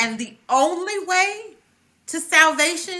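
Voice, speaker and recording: A woman with a raised, projected voice speaks at a high pitch, her pitch swinging very widely. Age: 40s. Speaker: psychologist. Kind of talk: casual chat.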